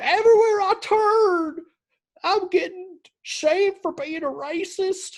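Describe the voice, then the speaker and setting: A man puts on a character voice with a Southern accent, pitched extremely high and spoken at a fairly slow pace. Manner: mocking, aggrieved.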